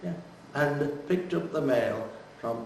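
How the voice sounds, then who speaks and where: Noticeable background noise sits behind a man's voice. He speaks at a fairly slow pace with medium pitch and ordinary pitch variation. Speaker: oral history interviewee. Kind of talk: interview answer.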